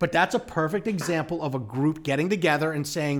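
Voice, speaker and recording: A man with a plain, everyday voice and an American accent speaks at a fairly high pitch with lively intonation, in a very clean recording with a silent background. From US Northeast, Long Island. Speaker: urban real estate strategist. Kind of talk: interview conversation.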